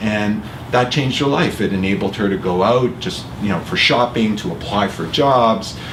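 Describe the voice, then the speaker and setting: In a Canadian accent, a man speaks at a moderate pace and fairly low pitch with ordinary pitch variation, with audible room echo and noticeable background noise. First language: Italian. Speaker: award winner and charity executive. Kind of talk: interview. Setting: office.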